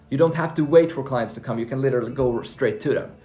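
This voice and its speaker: A man speaks at a very fast pace in an animated tone. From Finland (Swedish-speaking). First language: Swedish. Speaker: freelancing coach. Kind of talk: live stream Q&A.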